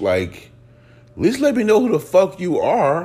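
An animated, somewhat breathy man's voice with very wide pitch swings. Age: 30s. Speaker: podcast host. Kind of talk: casual monologue.

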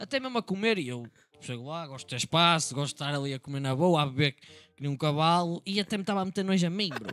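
A man's fairly high, animated voice in a European Portuguese accent, very fast, with lively intonation and a dry, close sound with no echo. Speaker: podcast co-host. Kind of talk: casual chat.

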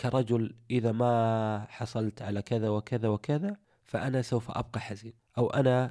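A man's dark, mellow voice at medium pitch, fairly slow and with hardly any pauses, fairly even in intonation, in a dry, close sound with no echo. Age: 30s. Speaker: motivational podcaster. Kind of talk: motivational monologue.

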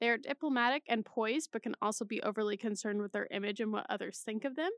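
A woman speaks at a fairly quick pace with fairly high pitch and ordinary pitch variation, her voice dry and close with no echo. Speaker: podcast host. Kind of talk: solo casual chat, taking an online quiz. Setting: studio podcast recording, intro added later. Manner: chatty, animated, jokey with filler words.

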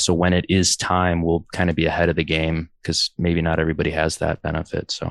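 A man's very deep, low pitch in a flat monotone at a fairly quick pace, with a quiet background and a dry, close sound with no echo. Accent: American. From US Midwest, Chicago. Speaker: hardcore band musician. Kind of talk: casual interview chat.

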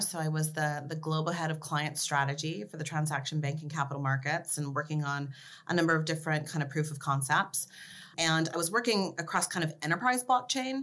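With an American accent, a woman speaks in a bright, sharp tone at a very deep, low pitch. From California (Los Angeles area). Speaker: crypto policy executive. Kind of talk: interview.

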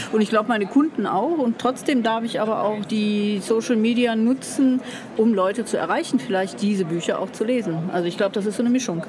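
Fairly high-pitched woman talking at a fairly quick pace, ordinary pitch variation, noticeable background noise. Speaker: publishing coach. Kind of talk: casual chat. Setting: book fair.

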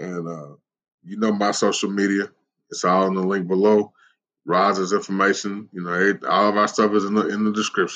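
In a Southern US accent, a man speaks with a fairly low pitch and monotone, flat intonation. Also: moderate pace. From US South, Tennessee (Smyrna, near Nashville). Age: 40s. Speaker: podcast host. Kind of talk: casual chat. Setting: phone call.

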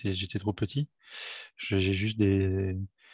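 A man is heard with a dry, close sound, no echo, and a quiet background. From France, Paris region (Fresnes). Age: 40s. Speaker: amateur football player, referee and club volunteer. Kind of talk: casual interview. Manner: halting, many repetitions.

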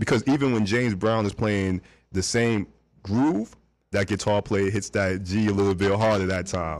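A man with a New York accent speaks at a fairly low pitch and moderate pace, with ordinary pitch variation and very even loudness, on a very clean recording with a silent background. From New York (Brooklyn). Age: 40s. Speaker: music producer. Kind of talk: casual interview chat. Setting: studio.

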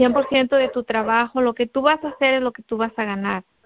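A woman's high-pitched voice moves with fairly even intonation. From Guerrero, Mexico. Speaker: network marketing distributor. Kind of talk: testimony. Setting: conference call.

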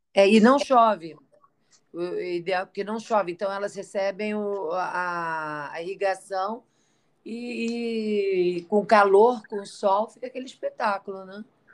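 Speaking at a very slow pace, a woman has a medium pitch with ordinary variation. Her loudness swings widely. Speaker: podcast co-host. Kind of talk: casual chat. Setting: traveling, on location.

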